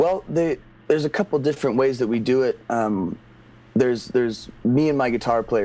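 A man's dark, mellow voice at medium pitch and a moderate pace. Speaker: musician, band frontman. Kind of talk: casual interview chat.

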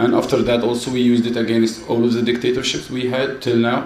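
A man with an Arabic accent, medium pitch and monotone, flat intonation, amid noticeable background noise and audible room echo. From Mansoura, Egypt. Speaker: musician. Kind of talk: panel talk.

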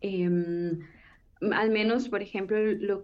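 Speaking at a very slow pace, a woman uses a medium pitch and ordinary pitch variation. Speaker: political science researcher. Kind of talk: panel discussion. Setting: remote call.

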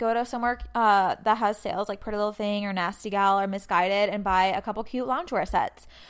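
Ordinary pitch variation and a moderate pace mark a plain, everyday voice. The background is silent and the recording very clean. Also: woman. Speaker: podcast host. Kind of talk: casual chat. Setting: working from home during quarantine.

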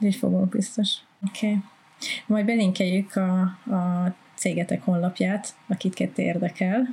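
A woman with a medium pitch, a dark, mellow tone and a somewhat breathy voice speaks at a fairly slow pace with fairly even intonation, very even loudness and long, frequent pauses. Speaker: podcast co-host. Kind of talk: scripted narration.

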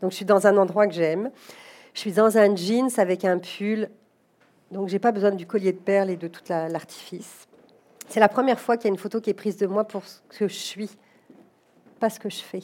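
A woman at medium pitch with a dark, mellow tone, fairly even intonation, a moderate pace, big swings in loudness and long, frequent pauses. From France, Paris. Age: 40s. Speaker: executive recruiter and company director. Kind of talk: interview before a live audience.

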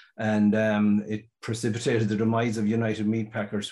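A man speaks with a western Irish accent at a fairly low pitch. His intonation is monotone and flat. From Ireland, County Mayo. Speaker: sheep dairy farmer and business owner. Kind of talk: interview.

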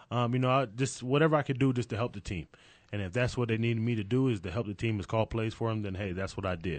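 A man talks at a very fast pace. His voice sits at a medium pitch with ordinary pitch variation. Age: 30s. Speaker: youth football coach. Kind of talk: interview.

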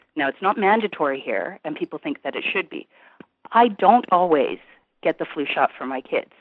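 A woman with an American accent, medium pitch, very wide pitch swings, big swings in loudness and a moderate pace. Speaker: caller, mother of two. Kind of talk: phone-in call on radio show.

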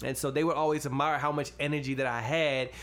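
A man's fairly quick, monotone, flat delivery with audible room echo. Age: 20s. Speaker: podcast co-host. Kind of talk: casual chat.

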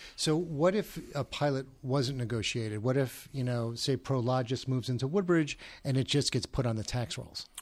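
With a New Jersey accent, a man talks at a moderate pace. He leaves hardly any pauses. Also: medium pitch for a man, ordinary pitch variation. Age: 40s. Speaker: podcast host. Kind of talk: interview. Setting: studio. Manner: halting.

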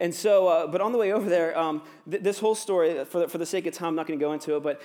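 In an American accent, a man talks at a very fast pace and a high pitch. His pitch varies in an ordinary way, and the recording is very clean with a silent background. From US, Virginia. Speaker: pastor. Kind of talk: sermon. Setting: church. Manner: casual, filler-heavy with ums and uhs.

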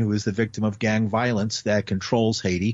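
This man has an ordinary speaking voice at a medium pitch. His pace is moderate. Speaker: radio news anchor. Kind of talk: news reading. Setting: studio.

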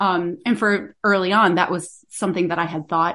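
A woman's fairly low voice with vocal fry and an American accent, ordinary pitch variation, a moderate pace and a quiet background. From Florida, north of Tampa. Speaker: bassoon professor. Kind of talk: interview. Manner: halting, many fillers.

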